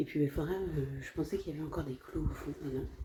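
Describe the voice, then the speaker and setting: A quiet woman speaks at a fairly quick pace. Her pitch is very deep and low. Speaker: family travel vlogger. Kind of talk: casual vlog narration. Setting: indoors at a work premises. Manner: speaking quietly.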